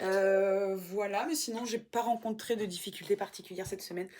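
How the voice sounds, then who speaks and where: Fairly even intonation from a woman speaking at medium pitch. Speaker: vlogger and aspiring writer. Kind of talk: casual vlog. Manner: halting.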